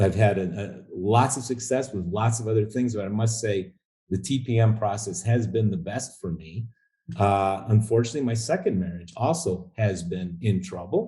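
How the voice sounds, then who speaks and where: A man's fairly low, somewhat breathy voice with a dark, mellow tone at a moderate pace. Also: ordinary pitch variation. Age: 60s. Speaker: coaching program client. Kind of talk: interview. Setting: call. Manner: halting.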